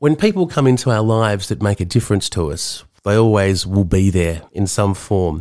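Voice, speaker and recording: A fairly low-pitched man at a moderate pace with hardly any pauses and ordinary pitch variation, on a very clean recording with a silent background. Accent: Australian. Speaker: podcast host and counsellor. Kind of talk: personal monologue.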